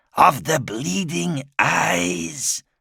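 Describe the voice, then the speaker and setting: A put-on character voice hisses and rasps. Its pitch swings very widely. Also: man, medium pitch for a man. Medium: read story. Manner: hissing, leering.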